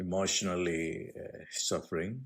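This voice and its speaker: Very slowly, a man speaks in a very deep, low voice. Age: 70s. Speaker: spiritual teacher. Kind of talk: spiritual teaching talk. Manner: halting, with frequent fillers.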